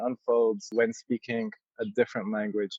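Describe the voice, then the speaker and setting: A man speaks with ordinary pitch variation in an Arabic accent. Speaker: yoga teacher. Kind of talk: interview. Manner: halting, many fillers.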